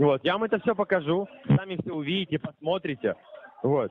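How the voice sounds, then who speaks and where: A man's voice, dry with no echo, over light background noise. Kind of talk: persuasive sales phone talk. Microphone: phone line.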